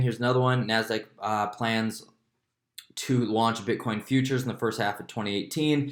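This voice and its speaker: A man talks in a normal speaking voice. His pace is moderate and his intonation fairly even. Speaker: crypto YouTuber. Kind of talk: casual market commentary vlog. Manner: casual, filler-heavy.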